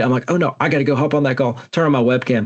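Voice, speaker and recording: A man of medium pitch with a strong Alabama accent and fairly even intonation. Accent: strong Southern (Alabama). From US South (Alabama). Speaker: podcast host, tech specialist and content creator. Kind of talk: casual podcast interview.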